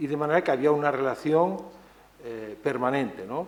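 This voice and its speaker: A man's fairly high voice at a fairly quick pace, with ordinary pitch variation and audible room echo. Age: 60s. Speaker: author and conference speaker. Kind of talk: conference talk. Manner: hesitant, many fillers and repetitions.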